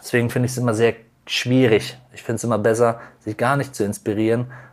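Using monotone, flat intonation, the man talks fairly quickly at a medium pitch. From North Rhine-Westphalia near the Dutch border. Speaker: chef. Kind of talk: interview.

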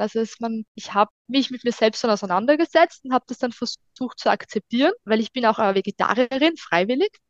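A woman's fairly high voice at a very fast pace with hardly any pauses, ordinary pitch variation, and a dry, close sound with no echo. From Austria, Styria (Hartberg area). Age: 30s. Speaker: food blogger and mother on parental leave. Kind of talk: casual chat.

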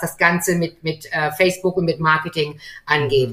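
A woman with a plain, everyday voice talks at a fairly quick pace and a fairly low pitch. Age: 50s. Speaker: gym owner. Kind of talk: video interview.

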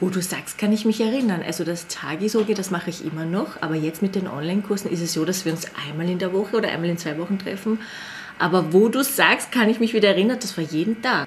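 Very fast speech from a woman at a medium pitch, ordinary pitch variation, noticeable background noise behind. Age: 30s. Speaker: Korean language teacher. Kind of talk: casual chat.

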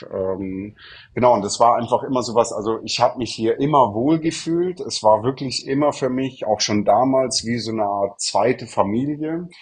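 This man's voice is somewhat breathy and sits at a medium pitch. He keeps a moderate pace with ordinary pitch variation. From southern Germany, Munich. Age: 30s. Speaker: real estate consultant. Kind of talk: podcast interview.

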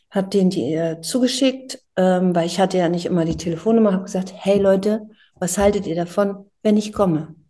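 A somewhat breathy woman's voice of medium pitch and dark, mellow tone, at a moderate pace. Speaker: singer. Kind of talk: interview. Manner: animated.

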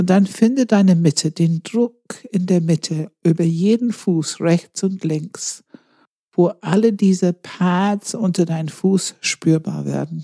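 Speaking at a very slow pace, a woman with a somewhat breathy, dark, mellow tone sounds calm and soothing, her pitch varying in an ordinary way over a dry, close sound with no echo. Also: medium pitch for a woman. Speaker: meditation guide. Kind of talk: guided meditation. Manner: slow, calm, soothing, with long pauses; gentle instructive cues, second person.

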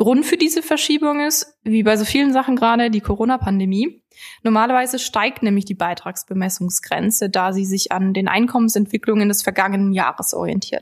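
A woman talks at a fairly quick pace with lively intonation. Her fairly high voice is somewhat breathy. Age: 20s. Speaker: financial sales manager. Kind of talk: podcast interview explaining finance topics.

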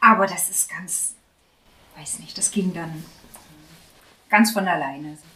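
Over noticeable background noise, a woman at a medium pitch with ordinary pitch variation speaks at a very slow pace, with long, frequent pauses and big swings in loudness. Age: 30s. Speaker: patient sharing fertility treatment experience. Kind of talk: casual group conversation, personal testimony.

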